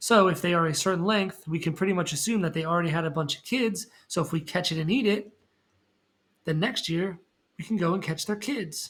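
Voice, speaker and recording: A high-pitched man at a fairly quick pace with ordinary pitch variation, on a very clean recording with a silent background. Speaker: science teacher. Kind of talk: recorded lecture for students. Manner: fast; casual, conversational with fillers.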